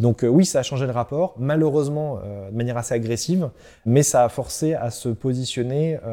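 This very clean recording has a silent background. A man talks at a moderate pace and medium pitch with ordinary pitch variation. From central France (Loiret). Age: 20s. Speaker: startup founder. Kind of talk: interview. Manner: hesitant with fillers and repetitions.

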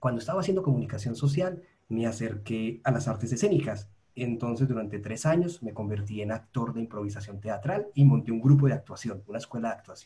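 Somewhat breathy, a man of medium pitch has a dark, mellow tone and lively intonation. He moves at a fairly quick pace with big swings in loudness. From Colombia, Medellín. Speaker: podcast host, UX researcher, academy co-founder. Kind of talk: casual interview chat.

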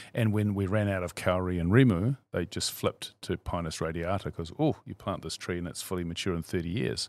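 With a New Zealand accent, a man talks at a fairly quick pace with hardly any pauses, his very deep, low voice showing ordinary pitch variation, in a dry, close sound with no echo on a very clean recording with a silent background. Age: 50s. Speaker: CEO of a savings fund. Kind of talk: interview.

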